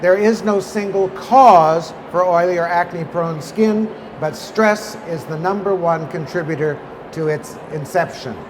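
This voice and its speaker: A man speaks fairly slowly in a high voice with ordinary pitch variation. Audible room echo and noticeable background noise come through. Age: 70s. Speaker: skincare company founder and lecturer. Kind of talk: lecture. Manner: animated.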